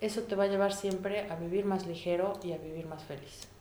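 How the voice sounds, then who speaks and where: A woman speaks at a moderate pace with fairly even intonation. Audible room echo and noticeable background noise surround her. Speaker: immigrant mother. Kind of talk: interview. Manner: reflective.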